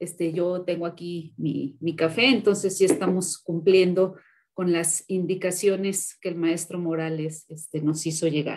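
A woman talks fairly slowly in a fairly low voice with fairly even intonation. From Mexico. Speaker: moderator. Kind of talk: interview. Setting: video call. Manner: halting. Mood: friendly, relaxed. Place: home room. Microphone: video call.

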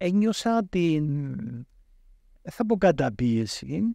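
A man's high-pitched voice with a dark, mellow tone, dry sound with no echo, and a quiet background. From Cyprus. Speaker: professor of entrepreneurship. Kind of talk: interview. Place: studio. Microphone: studio mic.

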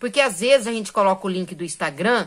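A woman sounds animated against a quiet background. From Brazil. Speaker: crochet YouTuber. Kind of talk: casual tutorial vlog. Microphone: phone near.

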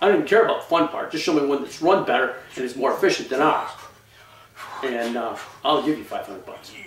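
Over noticeable background noise, a man with an American accent talks very fast in a fairly high pitch, using lively intonation and big swings in loudness. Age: 60s. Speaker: limestone quarry owner; bodybuilder. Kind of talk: casual talk to camera.

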